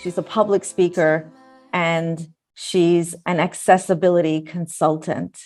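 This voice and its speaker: With music behind her, a woman delivers her words at a fairly slow pace. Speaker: talk show host. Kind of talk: show intro to camera. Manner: enthusiastic.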